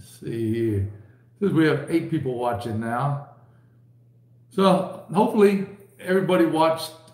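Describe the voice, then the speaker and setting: A man speaks at a fairly slow pace. The room adds audible echo. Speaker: livestream host. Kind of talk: casual livestream chat. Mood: relaxed, jokey. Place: home room. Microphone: webcam.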